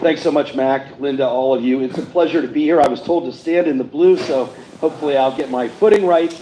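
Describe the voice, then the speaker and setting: A man with an American accent speaks very fast at a fairly high pitch, with ordinary pitch variation and noticeable background noise. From Pittsburgh, western Pennsylvania. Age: 60s. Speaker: state supreme court justice. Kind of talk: campaign speech.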